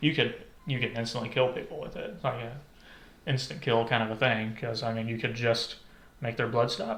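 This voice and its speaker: A man speaks at a fairly quick pace but with long, frequent pauses. His pitch is medium, his intonation fairly even, and there is audible room echo. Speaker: podcast co-host. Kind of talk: casual chat. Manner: halting.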